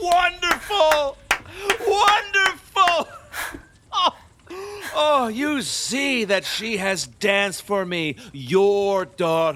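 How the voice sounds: Very slow and lively in intonation, the put-on character voice has a bright, sharp tone. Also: man, extremely high pitch for a man.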